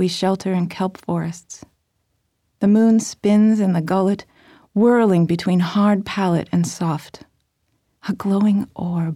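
In a very clean recording with a silent background, a woman with a medium pitch speaks at a very slow pace in a dark, mellow tone. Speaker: poet reading her own work. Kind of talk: poetry reading, concrete poems read aloud, lyrical and literary. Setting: studio recording. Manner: measured, deliberate, lyrical.

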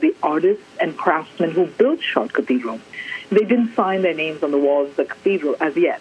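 Noticeable noise fills the background. The delivery is at a moderate pace. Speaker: art scholar. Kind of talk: interview. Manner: measured, articulate.

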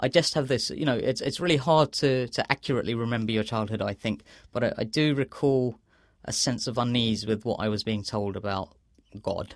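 A man with a London accent speaks at a fairly quick pace, his pitch medium and varying in an ordinary way. The recording is very clean, with a silent background. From London, England (Bangladeshi family). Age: 30s. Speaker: author. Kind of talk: interview. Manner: halting, with repetitions.

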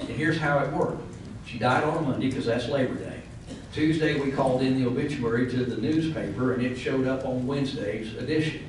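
Speaking at a very fast pace, a man with a medium-pitched voice keeps a fairly even intonation over noticeable background noise. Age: 60s. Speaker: professional guardian. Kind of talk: panel discussion. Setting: event room with live audience.

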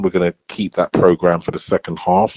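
A man's very deep, low voice moves with ordinary pitch variation. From East London (Bow). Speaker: hip hop theatre director and festival director. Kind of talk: interview.

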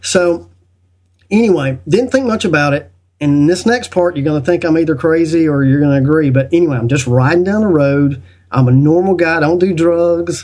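A man with a Southern US accent talks at a fairly quick pace. His pitch is fairly high, with ordinary variation. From US South. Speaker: podcast guest and video maker on spiritual topics. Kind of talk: casual interview chat.

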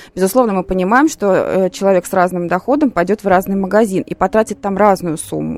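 At a fairly quick pace, a woman with an ordinary speaking voice talks at a medium pitch with ordinary pitch variation. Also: dry, close sound with no echo. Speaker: sociologist. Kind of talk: expert commentary on radio. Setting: studio.

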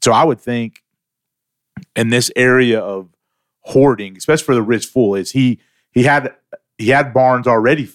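A man's medium-pitched voice at a moderate pace, fairly even in intonation, with long, frequent pauses. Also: dry, close sound with no echo. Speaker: pastor/church staff co-host.

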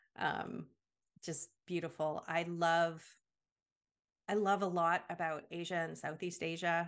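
A woman with a Canadian accent speaks in a fairly low, monotone voice with flat intonation. Her pace is fairly slow, with long, frequent pauses. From Canada. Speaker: podcast guest, international parent. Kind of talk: casual interview. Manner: hesitant, many fillers.

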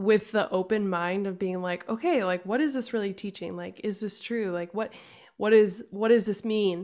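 The woman has a normal speaking voice of medium pitch, delivered at a moderate pace with fairly even intonation. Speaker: podcast co-host. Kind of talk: interview conversation.

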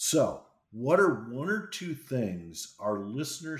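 A man with a somewhat breathy, medium-pitched voice moves through very wide pitch swings. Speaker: podcast host, former CIO. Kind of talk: interview.

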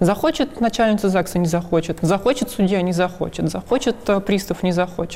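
Noticeable background noise runs under a woman speaking at a fairly quick pace and medium pitch. Her loudness stays very even, with ordinary pitch variation. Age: 30s. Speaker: transgender woman sharing her experience. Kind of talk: testimony.

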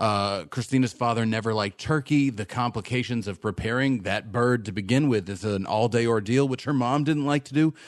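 Speaking with an unremarkable speaking voice, a man at medium pitch moves at a fairly quick pace with hardly any pauses and ordinary pitch variation on a very clean recording with a silent background. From Texas. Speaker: podcast producer. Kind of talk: casual chat.

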